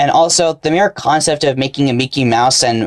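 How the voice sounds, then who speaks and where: With a dry, close sound and no echo, a man speaks at a fairly quick pace in a medium pitch with ordinary pitch variation. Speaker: YouTuber. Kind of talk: unscripted vlog monologue. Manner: halting, many restarts and pauses.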